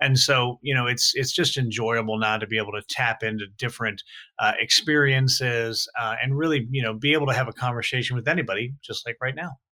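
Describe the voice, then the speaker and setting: Bright and sharp in tone, a man with an American accent talks at a fairly quick pace at medium pitch with fairly even intonation. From Saint Louis, Missouri. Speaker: author and media professional. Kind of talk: interview about history.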